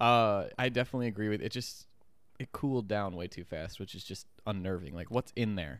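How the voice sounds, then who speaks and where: A man with a plain, everyday voice, fairly low pitch, lively intonation and a fairly quick pace. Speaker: podcast host. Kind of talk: casual banter. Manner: playful, joking.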